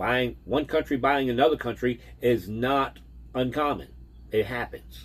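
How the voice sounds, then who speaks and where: This man has an ordinary speaking voice, talking at a fairly slow pace with fairly even intonation. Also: medium pitch for a man. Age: 60s. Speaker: vehicle transport driver, vlogger. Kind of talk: casual vlog monologue.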